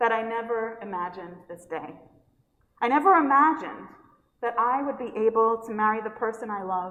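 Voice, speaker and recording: A woman with a New York accent, fairly high in pitch and lively in intonation, at a moderate pace with long, frequent pauses and audible room echo. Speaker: pastor. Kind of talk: sermon.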